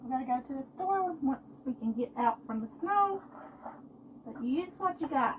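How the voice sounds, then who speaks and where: At a moderate pace broken by long, frequent pauses, a woman speaks at a high pitch with lively intonation. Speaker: home cooking livestreamer. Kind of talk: live cooking stream.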